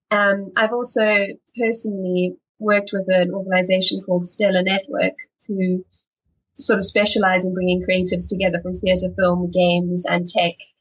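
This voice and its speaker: A woman speaks in a South African accent at a medium pitch and moderate pace, somewhat breathy and monotone. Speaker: film development executive. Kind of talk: panel discussion.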